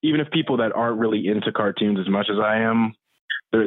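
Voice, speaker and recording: A man talking at a very fast pace. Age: 20s. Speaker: artist and musician. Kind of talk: interview. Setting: call.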